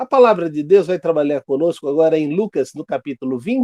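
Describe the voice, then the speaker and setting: The man's dark, mellow tone carries lively intonation, recorded with a dry, close sound with no echo. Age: 60s. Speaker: Sunday school teacher. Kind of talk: Bible class lesson.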